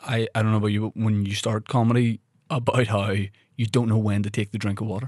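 A man with a Northern Irish accent, very fast and monotone with flat intonation, at a fairly low pitch, in a dry, close sound with no echo. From Northern Ireland. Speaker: podcast host and comedian. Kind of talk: casual chat. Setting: studio.

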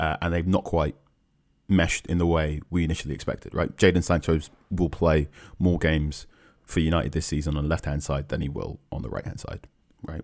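A man with an English accent talks at a fairly quick pace, with long, frequent pauses and a very deep, low pitch. His intonation is fairly even, and the recording is very clean with a silent background. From London, England. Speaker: football journalist. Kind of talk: casual chat.

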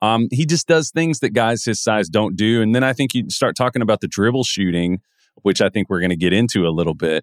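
This man has an ordinary speaking voice at medium pitch with lively intonation. The sound is dry and close, with no echo. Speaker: podcast host, NBA draft analyst. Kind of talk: casual sports talk.

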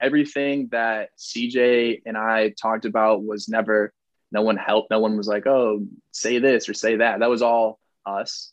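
A man speaks at a medium pitch and moderate pace. His intonation is monotone and flat. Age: 20s. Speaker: reality TV star guest. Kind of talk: casual interview chat. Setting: video call from childhood bedroom.

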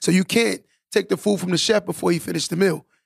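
A man with a New York accent talks at a very fast pace. The sound is dry and close with no echo, on a very clean recording with a silent background. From Long Island, New York. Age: 30s. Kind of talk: casual interview chat. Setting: studio.

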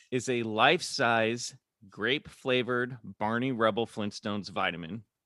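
In a Midwestern accent, a man with a medium-pitched, bright, sharp voice speaks at a fairly slow pace against a quiet background. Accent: General American (Midwest). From US Midwest, Kansas City. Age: 40s. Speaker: actor and podcaster. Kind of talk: casual interview. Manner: halting, many fillers.

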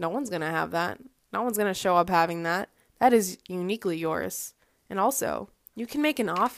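A medium-pitched woman in an American accent, fairly quick, with lively intonation. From Boston area, US. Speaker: fashion podcast host. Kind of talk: casual solo monologue.

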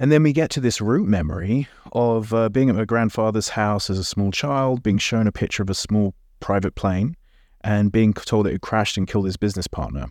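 In a very clean recording with a silent background, a man speaks at a fairly quick pace and fairly low pitch with ordinary pitch variation. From England. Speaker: hypnotherapist. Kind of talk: interview conversation.

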